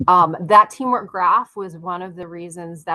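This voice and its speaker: A woman's bright, sharp voice unfolds at a fairly slow pace with ordinary pitch variation. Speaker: workshop presenter on AI tools. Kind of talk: online workshop presentation. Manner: many fillers and restarts.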